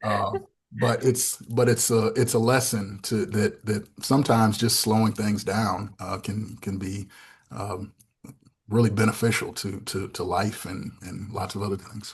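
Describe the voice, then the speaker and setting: A man with an American accent speaks at a fairly low pitch and a fairly slow pace. His voice is somewhat breathy, with fairly even intonation. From US Northeast, Syracuse, New York. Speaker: pastor and theology fellow. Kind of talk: podcast interview. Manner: halting, many repetitions.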